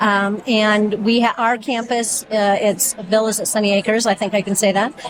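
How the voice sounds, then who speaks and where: Over noticeable background noise, a woman speaks at a moderate pace, her fairly high pitch held in fairly even intonation. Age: 60s. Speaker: physical therapist, volunteer. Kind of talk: interview.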